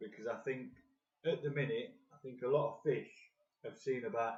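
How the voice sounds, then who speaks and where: Using lively intonation, a man with an English accent and a medium pitch speaks at a moderate pace. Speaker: carp fishing video host. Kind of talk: live-stream tutorial. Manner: soft-spoken; louder than usual. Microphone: phone mic, sound might be dodgy.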